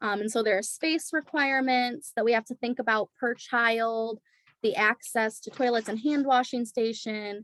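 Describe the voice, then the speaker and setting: A normal speaking voice at a moderate pace with ordinary pitch variation, dry and close with no echo, over a quiet background. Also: woman. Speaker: early childhood program presenter. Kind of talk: presentation in an online community forum. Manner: many filler words (um).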